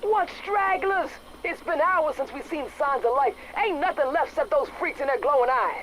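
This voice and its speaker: Put on as a character voice, this gruff, extremely high-pitched voice moves at a moderate pace over clear background noise. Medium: video game. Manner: gruff, profane.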